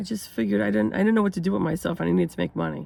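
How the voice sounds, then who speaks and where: Very clean audio of a woman, the background silent. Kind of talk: casual talk to camera.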